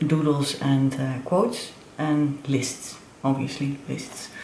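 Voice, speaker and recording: Over noticeable background noise and audible room echo, a woman speaks very slowly in a very deep, low pitch. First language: not English. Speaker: planner and crafts vlogger. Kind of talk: show-and-tell tutorial. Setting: home studio. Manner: halting, many fillers.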